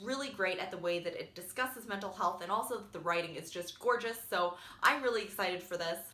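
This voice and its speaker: Audible room echo and noticeable background noise surround a woman who talks at a very fast pace. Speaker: booktuber. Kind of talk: casual vlog book talk.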